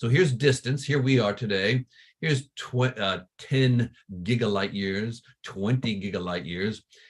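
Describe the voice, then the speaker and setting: The man's voice comes across as somewhat breathy. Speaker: astronomy professor. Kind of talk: lecture.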